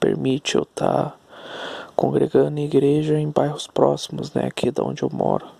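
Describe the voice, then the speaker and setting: A soft-spoken man is heard with a dry, close sound and no echo, though noticeable background noise comes through. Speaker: vlogger. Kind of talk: personal storytelling monologue. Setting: at home at night. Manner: halting.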